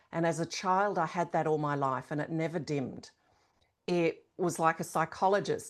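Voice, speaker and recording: In a very clean recording with a silent background, a woman with a plain, everyday voice speaks at a fairly low pitch with ordinary pitch variation. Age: 60s. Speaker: shaman and leadership coach. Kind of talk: interview.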